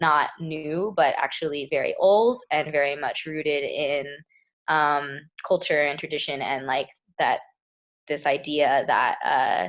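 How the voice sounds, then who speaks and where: A woman with an American accent, very deep and low in pitch, fairly slow in pace, with ordinary pitch variation. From Texas, Lubbock. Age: 20s. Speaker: community organizer. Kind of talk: talk. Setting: video call. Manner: casual, many fillers.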